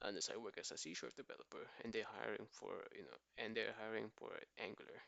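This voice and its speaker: The speaker is quiet. The pace is fairly quick. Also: man. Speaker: coding bootcamp student. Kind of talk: screen-share coding explanation. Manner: quiet, lowered voice; casual.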